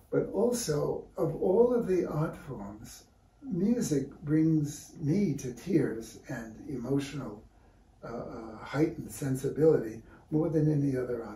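In a room with audible echo, a man with an American accent talks at a fairly slow pace, his fairly high pitch swinging very widely and his loudness shifting in big swings. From New York City (Brooklyn); New York City. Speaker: visual artist and art teacher; interviewee. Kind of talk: casual interview. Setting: artist's studio. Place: workshop. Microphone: camera far.

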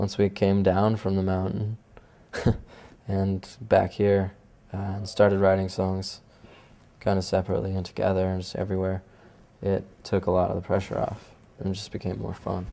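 Soft-spoken man with a very deep, low pitch and a dark, mellow tone, monotone and flat, at a moderate pace broken by long, frequent pauses. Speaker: musician. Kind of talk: interview answer. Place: home room.

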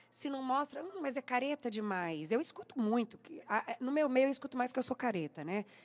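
This is a woman's voice. She talks at a fairly quick pace. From interior of São Paulo state, Brazil. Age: 40s. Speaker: singer; interviewee. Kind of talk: radio interview. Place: studio. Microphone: studio mic.

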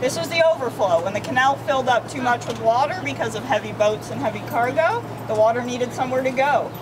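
The speech moves at a fairly quick pace. Background noise is noticeable throughout. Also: woman. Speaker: walking tour guide. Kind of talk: guided tour talk to a group. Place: street. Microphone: camera far.

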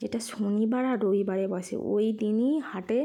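A woman with a fairly high pitch speaks in a dark, mellow tone, her intonation fairly even. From West Bengal, India (Shyampur, Howrah area). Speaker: lifestyle vlogger, housewife. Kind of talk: vlog narration. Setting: outdoors.

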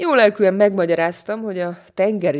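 A woman speaks at a moderate speed against a quiet background. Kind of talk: audiobook reading of a humorous literary text, told in first person. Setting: studio.

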